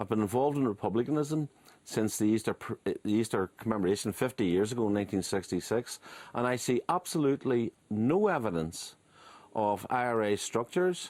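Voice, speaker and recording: On a very clean recording with a silent background and a dry, close sound with no echo, a man with a Belfast accent speaks at medium pitch and a fairly quick pace with lively intonation. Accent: Belfast Northern Irish. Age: 60s. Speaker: former republican strategist and author. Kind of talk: radio interview.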